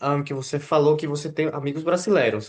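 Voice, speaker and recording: A man with a Spanish accent and a fairly high pitch, against a quiet background. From Mexico. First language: Spanish (speaking Portuguese). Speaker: channel host interviewer. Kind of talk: casual interview conversation. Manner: hesitant, many fillers.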